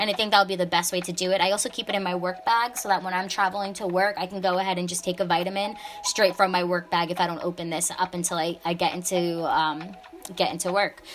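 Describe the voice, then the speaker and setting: A woman's very fast, monotone delivery with flat intonation over music in the background. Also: medium pitch for a woman. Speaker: bullet journal creator. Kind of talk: craft tutorial voiceover. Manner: casual, chatty.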